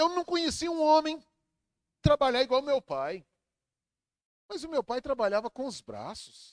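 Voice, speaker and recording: A dry, close sound with no echo around a man's moderately paced voice. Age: 60s. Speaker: pastor. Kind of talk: sermon.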